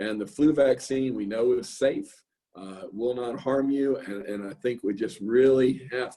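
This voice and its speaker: With an American accent, a man speaks at a moderate pace. His medium-pitched voice has a dark, mellow tone. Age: 60s. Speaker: physician and medical director. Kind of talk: online grand rounds talk. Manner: casual, with fillers and repetitions.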